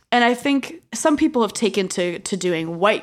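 A woman's medium-pitched voice with an American accent, vocal fry, very wide pitch swings and a moderate pace. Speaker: sociologist, postdoctoral researcher. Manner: enthusiastic.

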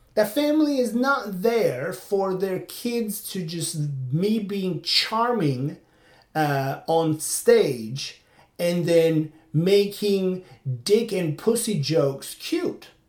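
A man with a Turkish accent speaks very slowly in a high voice. His intonation is lively. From Turkey. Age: 40s. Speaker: podcaster and stand-up comedian. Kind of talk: solo monologue, casual commentary. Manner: halting, with frequent fillers and restarts.

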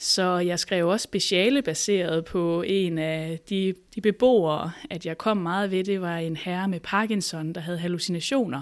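A woman with a normal speaking voice talks at a fairly slow pace, her pitch fairly low with ordinary variation. She leaves hardly any pauses. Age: 30s. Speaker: psychologist. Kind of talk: interview.

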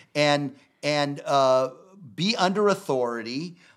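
The recording is very clean with a silent background, capturing a man's fairly high pitch. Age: 60s. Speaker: minister and speaker. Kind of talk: casual chat. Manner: preachy, emphatic.

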